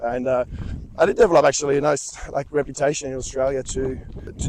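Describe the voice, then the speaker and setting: This man talks at a very fast pace in a fairly high pitch. Noticeable background noise runs behind him. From France. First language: French. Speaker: movement instructor and personal trainer. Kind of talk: casual conversation. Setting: outdoors on a hike. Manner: halting, with fillers and repetitions.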